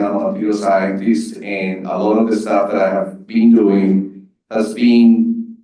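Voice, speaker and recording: In a Spanish accent, a man with a dark, mellow tone and medium pitch speaks at a fairly slow pace with fairly even intonation. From Colombia. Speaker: material scientist, panelist. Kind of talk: panel discussion.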